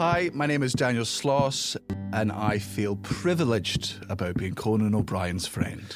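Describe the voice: This man has a Scottish accent and a fairly low pitch, speaking at a fairly slow pace with lively intonation. His loudness stays very even, and music plays in the background.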